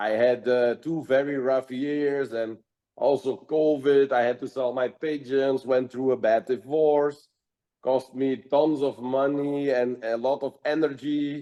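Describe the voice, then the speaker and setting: At a fairly slow pace, a man speaks with a dark, mellow tone of medium pitch and monotone, flat intonation. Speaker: pigeon fancier. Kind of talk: interview. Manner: loud; halting.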